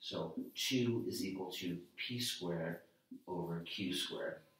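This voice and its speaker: A soft-spoken man talks amid audible room echo. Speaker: math teacher. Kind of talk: lecture.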